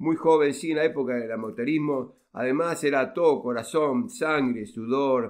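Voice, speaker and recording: A man with a plain, everyday voice and fairly high pitch speaks at a fairly slow pace with ordinary pitch variation and hardly any pauses. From Argentina, Rosario. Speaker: relative of a football pioneer. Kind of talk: interview.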